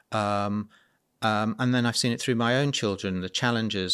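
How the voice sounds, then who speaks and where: In a British accent, a man speaks at a moderate pace with fairly even intonation, in a very clean recording with a silent background. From UK. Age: 50s. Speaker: entrepreneur and children's welfare campaigner. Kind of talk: interview conversation. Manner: halting with frequent repetitions.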